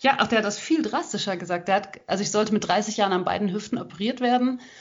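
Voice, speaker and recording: A woman's somewhat breathy voice at medium pitch, with ordinary pitch variation. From western Germany (Hagen, Ruhr area). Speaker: ultrarunner and author. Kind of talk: interview. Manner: hesitant fillers (ähm).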